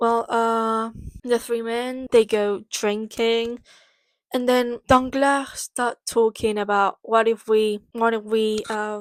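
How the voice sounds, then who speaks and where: In a Spanish accent, a woman speaks very slowly at a fairly high pitch with monotone, flat intonation, in a very clean recording with a silent background and a dry, close sound with no echo. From Spain. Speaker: book vlogger. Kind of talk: casual book summary vlog. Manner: hesitant, many fillers.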